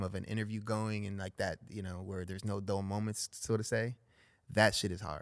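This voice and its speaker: A voice with a Southern California accent speaks at a fairly quick pace with monotone, flat intonation, in a dry, close sound with no echo on a very clean recording with a silent background. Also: man. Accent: Southern Californian English. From Los Angeles, San Fernando Valley. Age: 40s. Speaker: pro skateboarder. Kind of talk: casual chat. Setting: studio.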